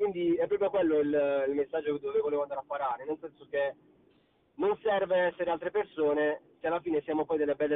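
Very fast, high-pitched speech from a man, ordinary in pitch variation. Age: young. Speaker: singer. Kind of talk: interview. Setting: recorded call.

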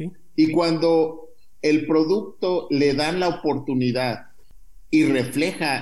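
A man speaks with ordinary pitch variation, his voice carrying audible room echo. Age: 50s. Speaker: biotech entrepreneur. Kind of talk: interview.

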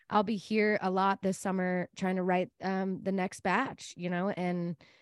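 A woman with an American accent speaks at a fairly slow pace, with a medium pitch and monotone, flat intonation. The recording is very clean, with a silent background and a dry, close sound with no echo. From Texas, Dallas area. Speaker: singer-songwriter. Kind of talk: interview.

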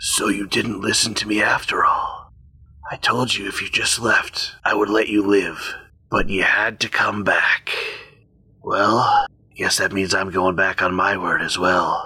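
A man speaks at a fairly slow pace in a raspy tone. It is a put-on character voice. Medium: actual play. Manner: menacing, gloating, contemptuous.

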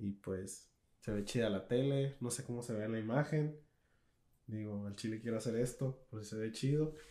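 A man speaks with a Mexican accent at a moderate pace. His medium pitch, dark, mellow tone and fairly even intonation hold throughout. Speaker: podcast co-host. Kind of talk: casual chat.

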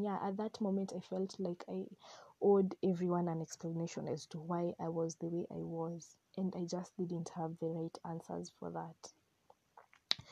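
This woman has a medium pitch and a dark, mellow tone, speaking at a fairly slow pace with monotone, flat intonation. The sound is dry and close, with no echo. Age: 20s. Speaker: podcast host, mental health advocate. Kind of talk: personal testimony.

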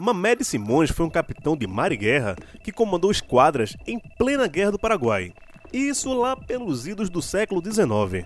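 Pitched high, a man's voice swings very widely in pitch. He speaks at a moderate pace. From Pernambuco, Brazil (Candeias). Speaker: podcast host, journalist. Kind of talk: casual chat; scripted narration.

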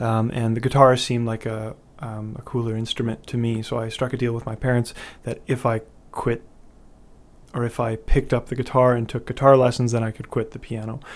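In a Canadian prairie accent, a man speaks at a fairly quick pace in a medium pitch with monotone, flat intonation, on a very clean recording with a silent background. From Canada, Winnipeg, Manitoba. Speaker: touring singer-songwriter. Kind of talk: interview. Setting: studio. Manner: hesitant with frequent fillers.

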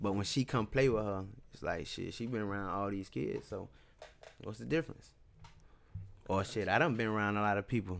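Speaking with an American accent, a man uses a fairly low pitch and ordinary pitch variation. His pace is fairly quick, broken by long, frequent pauses. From US South, West Tampa, Florida. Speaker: podcaster guest. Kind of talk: casual interview.

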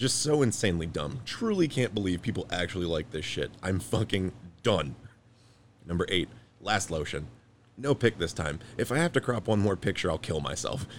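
A man with a very deep, low pitch speaks at a moderate pace, his voice making very wide pitch swings. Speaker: podcast host. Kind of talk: casual comedic chat.

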